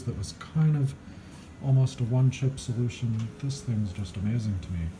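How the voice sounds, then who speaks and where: A man mumbles at a medium pitch with ordinary pitch variation. His tone is dark, mellow and somewhat breathy. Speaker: electronics hobbyist, musician. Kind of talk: unscripted repair talk to camera. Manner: mumbling, hesitant.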